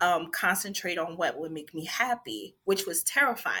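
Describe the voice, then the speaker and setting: Her intonation lively, a woman speaks at a medium pitch with a bright, sharp tone. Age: 40s. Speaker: interior designer and military veteran. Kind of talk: casual interview. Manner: animated.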